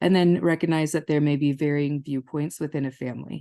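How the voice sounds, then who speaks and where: A woman's very deep, low voice with a dark, mellow tone and an American accent. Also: quiet background. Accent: Minnesota long O's with some Southern y'all. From northern Minnesota. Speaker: family therapist. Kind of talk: webinar lecture. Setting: webinar.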